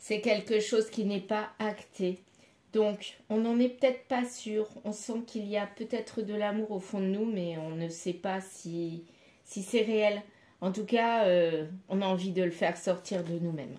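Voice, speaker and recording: A woman's dark, mellow tone at a fairly slow pace, with ordinary pitch variation. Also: medium pitch for a woman. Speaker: tarot card reader. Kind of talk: card reading guidance. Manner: halting.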